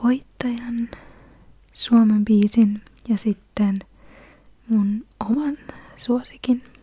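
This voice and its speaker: A soft-spoken woman with a gentle tone and monotone, flat intonation, in a dry sound with no echo. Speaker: ASMR video creator. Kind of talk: soft-spoken casual commentary. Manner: soft-spoken, gentle and close to the mic. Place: home room. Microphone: studio mic.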